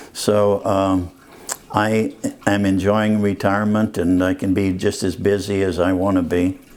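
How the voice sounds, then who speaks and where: With an American accent, a man talks at a fairly slow pace in a fairly low pitch and monotone, flat intonation, against noticeable background noise. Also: very even loudness. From Texas, rural area near San Antonio. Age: 70s. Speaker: retired city manager. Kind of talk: interview. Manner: halting.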